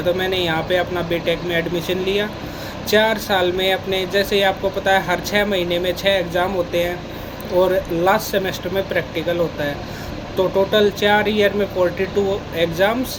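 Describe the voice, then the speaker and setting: Over noticeable background noise, a man talks in a high, monotone, flat voice with hardly any pauses. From Haryana, India (Rohtak area). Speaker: software engineer. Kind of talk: casual talk to camera.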